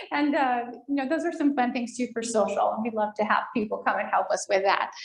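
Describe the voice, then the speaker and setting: A woman's high-pitched, fairly quick voice with ordinary pitch variation, over noticeable background noise. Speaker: foundation staff presenter at senior living community. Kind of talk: presentation to residents. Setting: room with in-person audience and online viewers. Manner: fast.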